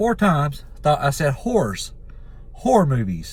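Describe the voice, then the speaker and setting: A somewhat breathy man speaks at a fairly slow pace. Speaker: YouTuber, horror movie commentator. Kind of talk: casual vlog talk. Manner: halting, with filler words.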